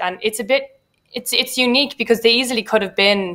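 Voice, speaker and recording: A woman talks at a fairly quick pace. She has an Irish accent. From Ireland. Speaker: poet. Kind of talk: panel discussion. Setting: online festival event. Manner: hesitant, many fillers.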